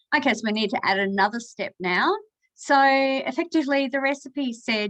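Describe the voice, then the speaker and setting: With an Australian accent, a woman speaks at a moderate pace. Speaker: cooking demonstrator. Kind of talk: tutorial. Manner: casual with fillers.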